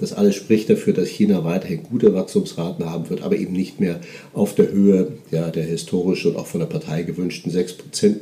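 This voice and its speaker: Pitch swings very widely at a fairly quick pace, with noticeable background noise behind the voice. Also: man, big swings in loudness. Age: 50s. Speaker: portfolio manager. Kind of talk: interview. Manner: hesitant with fillers.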